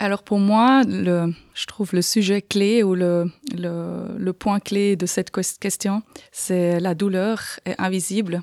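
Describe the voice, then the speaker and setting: Very slowly, a woman speaks at a medium pitch with fairly even intonation. The recording is very clean and dry, close with no echo and a silent background. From Aargau, Switzerland. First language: Swiss German (speaking French). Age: 40s. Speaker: patient with arthritis. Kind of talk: interview. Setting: studio. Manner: halting.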